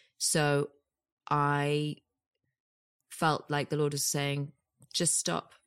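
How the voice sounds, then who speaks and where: In a very clean recording with a silent background, a woman speaks very slowly with a British accent. Her pitch is very deep and low, her intonation monotone and flat, with long, frequent pauses. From UK. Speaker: actress and producer. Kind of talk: casual interview chat.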